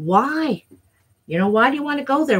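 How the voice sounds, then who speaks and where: This somewhat breathy voice moves through very wide pitch swings. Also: woman. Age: 60s. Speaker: tarot reader. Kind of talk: live stream tarot reading chat. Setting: live stream. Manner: halting.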